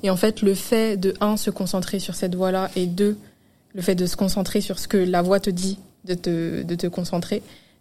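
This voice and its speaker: Her voice has a dark, mellow tone at a medium pitch. The woman speaks at a moderate pace with monotone, flat intonation. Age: 20s. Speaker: social media manager. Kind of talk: casual chat.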